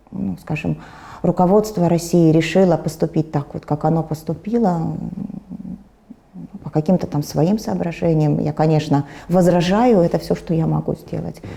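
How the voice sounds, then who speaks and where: Over noticeable background noise, a woman with a very deep, low pitch speaks at a moderate pace, using ordinary pitch variation and long, frequent pauses. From former USSR. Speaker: war refugee, pensioner. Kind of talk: interview answer. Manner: calm, stoic.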